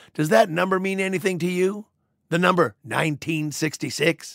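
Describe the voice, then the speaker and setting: Gruff and fairly slow, a man performs in a put-on character voice. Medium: audio drama. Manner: gruff, boastful, profane.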